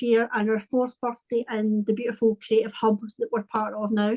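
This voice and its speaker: In a Scottish accent, a woman speaks at a moderate pace with a fairly high pitch and fairly even intonation. The sound is dry and close, with no echo. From Scotland, Paisley near Glasgow. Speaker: wellbeing and creativity coach. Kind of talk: casual interview chat.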